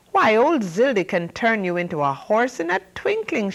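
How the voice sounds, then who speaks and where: A woman puts on a shrill character voice at a medium pitch. She delivers it at a moderate pace. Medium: read story. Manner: quick, excitable.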